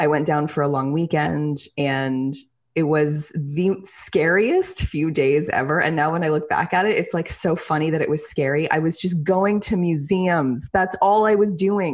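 Against a quiet background, the speech moves at a moderate pace with ordinary pitch variation. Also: woman, very deep, low pitch for a woman. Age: 30s. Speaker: podcast host and writer. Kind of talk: casual interview.

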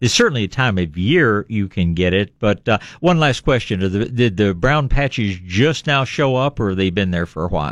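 A man's fairly low voice at a moderate pace, with lively intonation and hardly any pauses, against a quiet background. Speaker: radio gardening show host. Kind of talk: radio call-in advice chat. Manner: cheerful, smiling.

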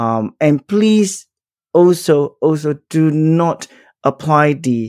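A man's dark, mellow voice carries lively intonation in a dry, close sound with no echo. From Singapore. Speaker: organizational psychologist. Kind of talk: interview conversation. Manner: hesitant with many fillers.

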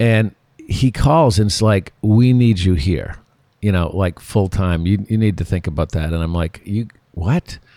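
With lively intonation and a fairly low pitch, a man talks at a fairly slow pace in a very clean recording with a silent background. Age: 60s. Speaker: restaurant owner. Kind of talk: interview. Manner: halting.

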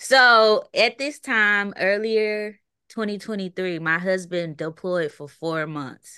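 With a bright, sharp tone and ordinary pitch variation, a woman speaks very slowly at a medium pitch against a quiet background. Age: 20s. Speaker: photographer and content creator. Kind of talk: casual chat. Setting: podcast interview.

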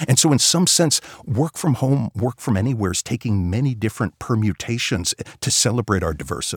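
Speaking with an American accent, a man uses lively intonation at a fairly quick pace and medium pitch. His voice is somewhat breathy, and the sound is dry and close with no echo. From New York area. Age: 50s. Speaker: economics professor. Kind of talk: interview.

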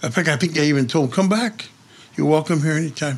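A man is speaking at a fairly high pitch. His pitch variation is ordinary. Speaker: friend of the subject. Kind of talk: interview. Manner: animated.

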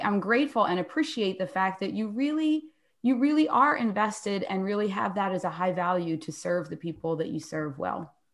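A woman's plain, everyday voice of medium pitch, with an American accent, at a fairly quick pace in a very clean recording with a silent background. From Philadelphia, US. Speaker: podcast co-host and author. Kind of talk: casual interview chat.

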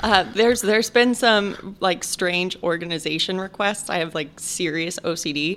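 With an American accent, an ordinary speaking voice moves at a moderate pace with ordinary pitch variation and hardly any pauses. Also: woman, medium pitch for a woman. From Chicago. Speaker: meal prep business owner and private chef. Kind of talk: casual interview.

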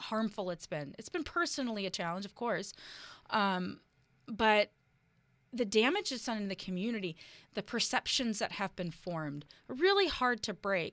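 A woman uses a plain, everyday voice, fairly high in pitch and with an American accent, at a moderate pace in a very clean recording with a silent background. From US West Coast, Oakland, California. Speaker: local politician. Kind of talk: interview. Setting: studio.

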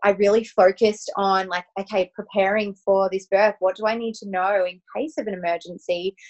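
A woman's medium-pitched voice with an Australian accent, monotone and flat in intonation, in a dry, close sound with no echo. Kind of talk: casual interview chat.

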